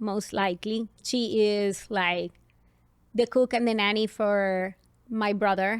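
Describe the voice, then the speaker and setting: Here a woman speaks at a fairly slow pace with a fairly high pitch. The recording is very clean, with a silent background. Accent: Colombian. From Colombia, Barranquilla. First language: Spanish. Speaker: parenting podcast host. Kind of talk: casual chat.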